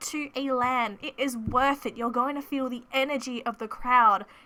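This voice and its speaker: A woman's high-pitched, raised, projected voice. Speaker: esports caster. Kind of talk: casual talk to camera.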